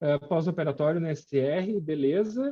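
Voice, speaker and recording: The speaker is a man with a fairly high pitch. His delivery is fairly slow. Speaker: intensive care physician lecturer. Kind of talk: lecture. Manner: many filler hesitations.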